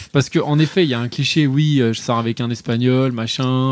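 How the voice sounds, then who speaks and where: Fairly even intonation marks the speech, which runs at a fairly quick pace. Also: man. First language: not French (speaking French). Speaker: podcast co-host. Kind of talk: casual chat. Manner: hesitant, many fillers.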